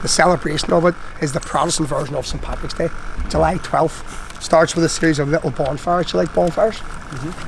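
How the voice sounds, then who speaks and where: Speaking at a very fast pace, a man with a fairly high pitch keeps his intonation fairly even over light background noise. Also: dry sound with no echo. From Northern Ireland. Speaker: tour guide. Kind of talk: guided tour talk. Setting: in a taxi. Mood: grave storytelling. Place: street.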